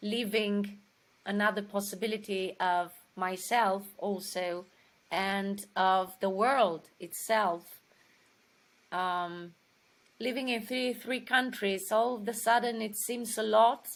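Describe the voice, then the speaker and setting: A woman with a Romanian accent, medium pitch, fairly even intonation and a very slow pace. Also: very clean recording, silent background. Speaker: actress. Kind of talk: interview. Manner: halting.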